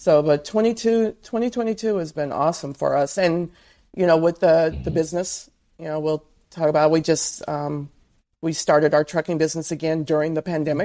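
A woman speaks at a very deep, low pitch in a dark, mellow tone. She keeps a moderate pace with ordinary pitch variation on a very clean recording with a silent background. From Southern California. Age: 50s. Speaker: author and truck driver's wife. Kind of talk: interview.

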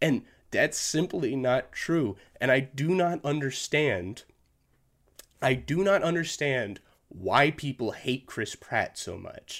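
Very slow and lively in intonation, a man speaks at a fairly high pitch. Vocal fry runs through his voice. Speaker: movie podcast host. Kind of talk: solo casual commentary. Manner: frequent fillers and laughs; lip smacking.

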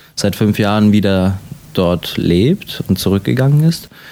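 With a dark, mellow tone, a man speaks at a moderate pace. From Germany, Latvian family. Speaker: actor. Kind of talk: interview. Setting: hotel. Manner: halting, with fillers.

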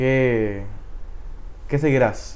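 A man talks at a very slow pace with ordinary pitch variation. The room echo is audible. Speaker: youth ministry podcast host. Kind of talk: interview.

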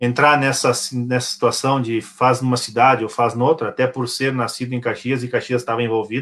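A man with a plain, everyday voice speaks at a moderate pace and medium pitch on a very clean recording with a silent background. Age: 40s. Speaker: deaf sports handball coach. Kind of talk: casual chat.

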